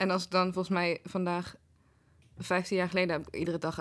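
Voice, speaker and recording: A woman with a fairly low pitch talks at a fairly quick pace on a very clean recording with a silent background. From Netherlands, Den Bosch. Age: 30s. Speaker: writer and programme maker. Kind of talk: casual interview chat.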